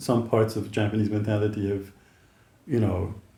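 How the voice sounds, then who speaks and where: A man with a Dutch accent speaks at a fairly low pitch, his tone dark and mellow and somewhat breathy. His intonation stays fairly even, and audible room echo surrounds the voice. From Netherlands. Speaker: YouTuber, interviewer. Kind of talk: casual chat. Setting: in person, in the Netherlands.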